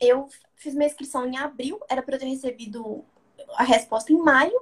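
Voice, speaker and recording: This is a woman's voice. The pace is moderate. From Belo Horizonte, Minas Gerais, Brazil. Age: 20s. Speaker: university student and parliamentary aide. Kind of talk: casual interview.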